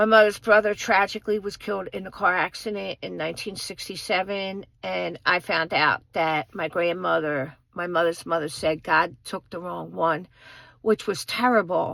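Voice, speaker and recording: A woman speaks at a moderate pace in a fairly low pitch, with vocal fry and ordinary pitch variation. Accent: American. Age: 50s. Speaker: vlogger. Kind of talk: personal storytelling. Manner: halting, many fillers.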